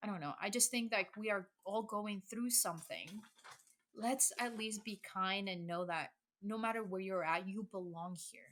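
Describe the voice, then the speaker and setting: A woman speaks with a Spanish accent at a medium pitch. Her pace is moderate and her pitch varies in an ordinary way. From El Salvador, moved to US at ten. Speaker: public health equity coordinator. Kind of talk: podcast interview. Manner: energetic; halting, many restarts.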